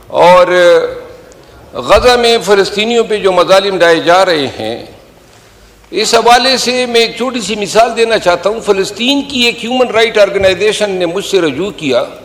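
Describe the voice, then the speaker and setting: A man talks in a high pitch with ordinary pitch variation while noticeable background noise carries on behind him. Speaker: member of parliament. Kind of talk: parliamentary speech.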